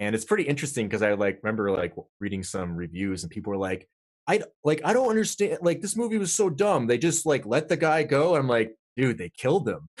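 Against a quiet background, a man with an American accent and a fairly high pitch rushes at a very fast pace, showing very wide pitch swings and vocal fry. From Vermont, US. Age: 30s. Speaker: occult researcher and podcaster. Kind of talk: casual interview chat. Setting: online call.

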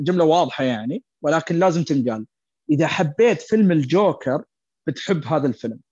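In a dry, close recording with no echo and a quiet background, a man speaks at a moderate pace with lively intonation and a high pitch. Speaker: returning guest film fan. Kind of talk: casual chat.

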